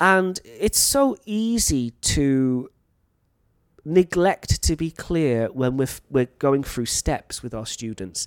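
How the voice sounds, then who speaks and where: Someone with a Welsh accent speaks at a very slow pace, the pitch swinging very widely. The recording is very clean with a silent background, and the sound is dry and close with no echo. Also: man, fairly high pitch for a man. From North Wales. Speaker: teacher and podcast host. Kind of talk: educational monologue podcast. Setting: teaching in Thailand.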